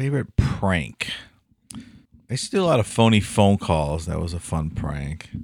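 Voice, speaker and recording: Lively intonation marks this moderate-paced voice in a Midwestern American accent. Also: man, very deep, low pitch for a man. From Cleveland, Ohio. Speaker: podcast co-host. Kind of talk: casual chat. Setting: studio.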